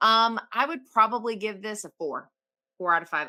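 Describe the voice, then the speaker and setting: Speaking at a moderate pace in a Southern US accent, a woman has a bright, sharp tone and lively intonation. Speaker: horror podcast guest panelist. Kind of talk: casual discussion, movie review. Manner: hesitant, many fillers and restarts.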